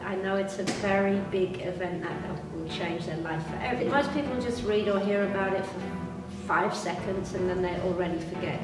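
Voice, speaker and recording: A woman talks at a fairly quick pace. Audible room echo surrounds her, with clear music in the background. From Britain. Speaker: tour guide and motivational speaker. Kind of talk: interview answer. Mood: earnest, serious. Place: home room.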